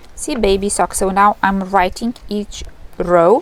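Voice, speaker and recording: A woman talks at a very slow pace. Noticeable background noise runs behind her. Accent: Lithuanian. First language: Lithuanian. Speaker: knitting vlogger. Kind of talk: casual vlog. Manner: halting.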